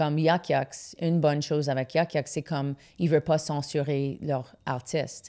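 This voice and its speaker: A woman with an English accent speaks at a fairly slow pace in a very deep, low pitch and a dark, mellow tone. Her intonation is monotone and flat, and the background is quiet. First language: English (speaking French). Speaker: comedian; comedian guest. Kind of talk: casual interview chat. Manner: halting, frequent fillers and English code-switching. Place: studio. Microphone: studio mic.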